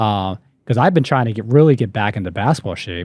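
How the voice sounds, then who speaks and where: A man with an American accent talks at a fairly quick pace and medium pitch. His pitch varies in an ordinary way, and it's a plain, everyday voice. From Maryland, US. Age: 40s. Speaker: podcast host. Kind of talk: casual chat.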